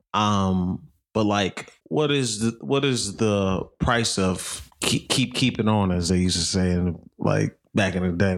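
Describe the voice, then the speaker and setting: In a normal speaking voice, a man talks at a fairly low pitch with ordinary variation, recorded very cleanly against a silent background. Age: 30s. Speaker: podcast co-host and producer. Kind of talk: casual chat.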